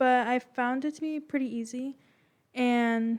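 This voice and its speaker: Quiet and monotone, a woman speaks at a fairly high pitch with flat intonation. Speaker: youth club staff member. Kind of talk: podcast interview. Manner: very quiet.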